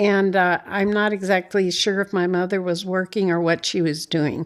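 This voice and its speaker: A woman with an Upper Midwest accent speaks at a moderate pace in a monotone, flat intonation. Her loudness stays very even in a very clean recording with a silent background. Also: medium pitch for a woman. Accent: Upper Midwest American. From North Dakota, USA. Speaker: retired banker. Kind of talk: interview answer.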